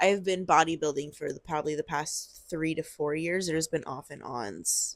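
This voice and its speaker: A woman with an American accent speaks at a moderate pace in a fairly low voice, with an animated tone and ordinary pitch variation. The recording is very clean and the background silent. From US West, Las Vegas. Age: 20s. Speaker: bodybuilder and vlogger. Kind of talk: casual monologue to camera. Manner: animated, chatty.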